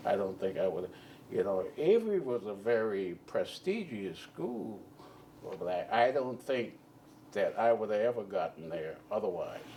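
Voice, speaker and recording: A man speaks with a Charleston accent. His pace is fairly slow. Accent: Southern US (Charleston). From Charleston, South Carolina. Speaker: Army veteran. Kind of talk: oral history interview answer.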